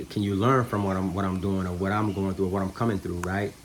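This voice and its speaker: A man with a fairly low pitch speaks in a monotone, flat intonation over noticeable background noise. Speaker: spiritual vlogger. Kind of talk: casual spiritual vlog monologue. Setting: at home in the kitchen. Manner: soft-spoken, calm.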